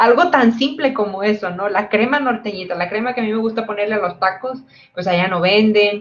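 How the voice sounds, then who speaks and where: A woman with a northern Mexican accent talks at a fairly quick pace with ordinary pitch variation. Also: fairly high pitch for a woman. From northern Mexico (Tamaulipas/Monterrey area). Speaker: physicist, PhD researcher. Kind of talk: panel talk.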